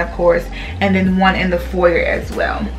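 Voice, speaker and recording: A woman's voice over faint music in the background. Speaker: home decor vlogger. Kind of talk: casual vlog chat. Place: home room.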